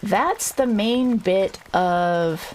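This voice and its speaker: A woman speaks over noticeable background noise. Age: 40s. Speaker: streamer. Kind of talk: casual livestream talk. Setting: home livestream. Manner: hesitant, many fillers.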